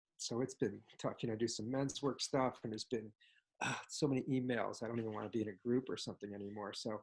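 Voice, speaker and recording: Using vocal fry, a man speaks at a medium pitch with fairly even intonation. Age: 60s. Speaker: meditation group participant. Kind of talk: casual sharing in group. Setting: video call. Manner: halting.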